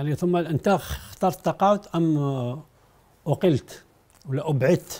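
A man with an Algerian accent speaks at a fairly slow pace in a fairly high pitch and a dark, mellow tone, with ordinary pitch variation and long, frequent pauses. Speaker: TV history programme host. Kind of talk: interview; interview question. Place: studio. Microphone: lapel.

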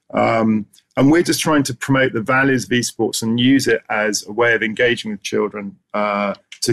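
Over a quiet background, a man talks with an English accent. His pace is moderate and his pitch varies in an ordinary way. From England. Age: 50s. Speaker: esports association founder. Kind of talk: conference presentation. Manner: halting. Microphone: webcam.

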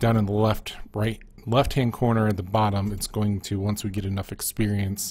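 A man speaks at a moderate pace in an enthusiastic tone, somewhat breathy. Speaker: gaming YouTuber. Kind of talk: casual gameplay commentary. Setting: recorded gameplay voiceover. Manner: casual, enthusiastic, with filler words.

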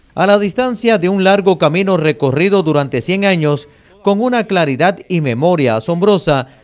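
Lively intonation carries a man's high pitch along at a moderate pace. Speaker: news reporter. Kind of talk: TV news narration.

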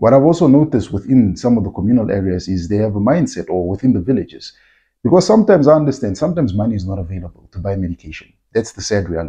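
A somewhat breathy man at a fairly low pitch, very fast pace and very wide pitch swings, against a quiet background. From Namibia. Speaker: agricultural content creator and farmer. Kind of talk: casual vlog-style talk to camera. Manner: conversational, informal, uses fillers. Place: home room. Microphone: phone near.

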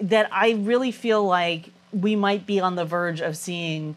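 With an American accent, a woman speaks at a fairly slow pace with ordinary pitch variation. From California, San Diego; California. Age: 40s. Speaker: public health professor. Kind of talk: interview. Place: studio. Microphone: lapel.

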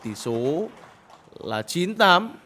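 A man's voice amid noticeable background noise. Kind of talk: live sports commentary. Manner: praises shots and addresses viewers directly.

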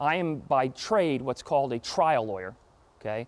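With an American accent, a man is talking. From Florida. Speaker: trial attorney and motivational speaker; trial attorney, motivational speaker. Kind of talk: talk to an audience. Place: hall.

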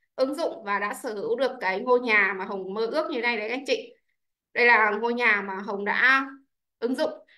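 With a bright, sharp tone, a woman speaks at a moderate pace in a high pitch with ordinary pitch variation over a quiet background. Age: 30s. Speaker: businesswoman. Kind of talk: testimony. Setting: video call. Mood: grateful, upbeat. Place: home room. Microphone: video call.

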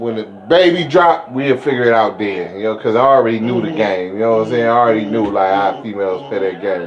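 A man talking at a very fast pace with hardly any pauses, over noticeable background noise. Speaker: storyteller talking to his stepfather. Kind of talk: casual storytelling chat. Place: home room. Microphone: phone near.

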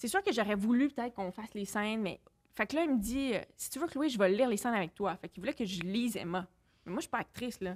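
The intonation is lively and the pace very fast. Loudness swings widely from moment to moment. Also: woman, fairly high pitch for a woman. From Quebec City; Quebec. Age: 30s. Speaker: film director; podcast guest. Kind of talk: casual chat. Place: studio. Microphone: studio mic.

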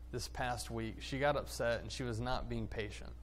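A man at a fairly slow pace, with light background noise. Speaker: preacher. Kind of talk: sermon. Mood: warm, humorous storytelling. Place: church.

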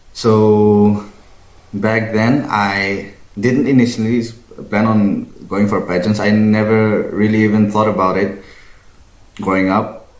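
Very slow and marked by long, frequent pauses, a man's fairly low voice stays monotone and flat. His loudness is very even, and room echo is audible. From Northeast India. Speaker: pageant winner. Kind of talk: casual interview. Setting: video call. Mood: calm, friendly. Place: home room.

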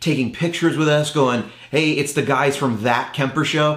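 A man speaks at a very fast pace with fairly even intonation. Audible room echo surrounds the voice. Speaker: show host. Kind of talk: casual vlog intro. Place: studio.

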